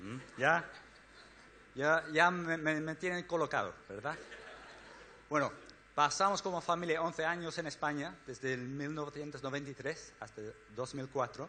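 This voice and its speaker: Fairly high in pitch, a man speaks in a bright, sharp tone with ordinary pitch variation, moving at a fairly slow pace with long, frequent pauses. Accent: Spanish. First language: English (speaking Spanish). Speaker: missionary organization director. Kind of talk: church talk. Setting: church. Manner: halting.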